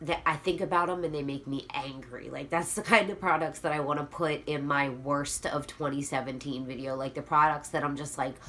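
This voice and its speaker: Moving at a fairly quick pace with hardly any pauses, a woman speaks at a very deep, low pitch with fairly even intonation. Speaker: beauty youtuber. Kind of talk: casual vlog talk. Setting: at home vanity. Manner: soft, not yelling since kids asleep.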